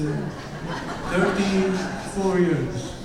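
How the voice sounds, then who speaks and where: A man with a Romanian accent speaks at a very slow pace. Noticeable background noise and audible room echo surround his voice. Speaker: parent speaker at graduation. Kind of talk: ceremony speech. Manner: halting.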